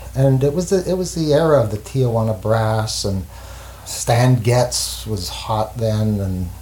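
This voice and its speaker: A man's fairly low voice moves with lively intonation. Noticeable background noise runs underneath. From Montreal, Quebec. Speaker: jazz saxophonist and teacher. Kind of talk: interview. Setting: at home. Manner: halting.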